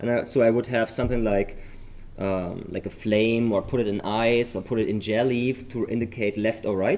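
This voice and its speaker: A man talks with a German accent at a moderate pace. His pitch sits in the medium range. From Germany. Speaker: memory sports commentator. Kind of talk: live commentary. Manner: animated.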